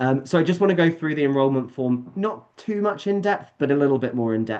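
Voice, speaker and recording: Speaking with a British accent, a man talks at a fairly quick pace with lively intonation. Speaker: summer camp staff presenting to parents. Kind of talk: online presentation. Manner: fast.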